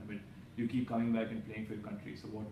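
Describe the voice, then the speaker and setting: Noticeable noise sits behind this man. His delivery comes very fast. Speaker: sports interviewer. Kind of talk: interview. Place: office.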